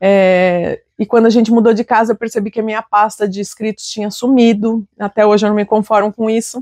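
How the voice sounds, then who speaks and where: A woman's fairly high, dark and mellow voice, flat and monotone, in a dry, close sound with no echo. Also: fairly quick pace, hardly any pauses. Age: 40s. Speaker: writer and literature teacher. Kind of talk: interview testimony.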